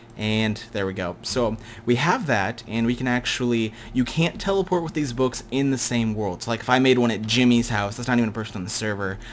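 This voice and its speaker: A man talks at a fairly quick pace against noticeable background noise. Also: medium pitch for a man, ordinary pitch variation. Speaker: gaming youtuber. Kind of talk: gameplay tutorial commentary. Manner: fast; casual with fillers.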